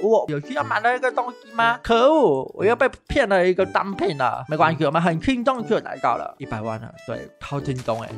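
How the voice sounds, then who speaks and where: Music plays in the background while someone talks at a moderate pace. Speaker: gaming YouTuber. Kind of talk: casual gameplay commentary. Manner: upbeat, excitable.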